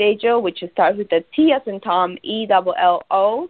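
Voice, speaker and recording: A woman speaks with a Spanish accent. Her pitch is fairly high and her intonation lively. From Peru. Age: 30s. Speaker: radiologic technology supervisor and online marketer. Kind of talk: casual interview. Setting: phone call.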